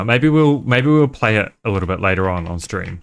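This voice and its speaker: Here a man with a slight New Zealand accent talks fairly quickly with lively intonation. The recording is very clean, with a silent background. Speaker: game streamer. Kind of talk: casual chat. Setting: live stream. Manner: halting.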